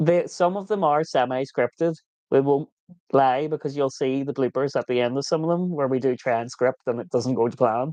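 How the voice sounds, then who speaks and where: A fairly quick Irish-accented man with a fairly high pitch, ordinary pitch variation, and a dry, close sound without echo. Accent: Irish, viewers call it kinder than Scottish. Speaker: vanlife vlogger. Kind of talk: livestream Q&A chat. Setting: live stream.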